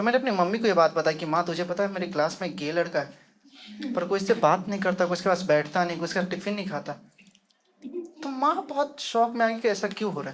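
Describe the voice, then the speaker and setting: A man speaks with a high-pitched voice. His loudness rises and falls in big swings. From Bihar, India. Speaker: stand-up comedian. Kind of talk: stand-up comedy set.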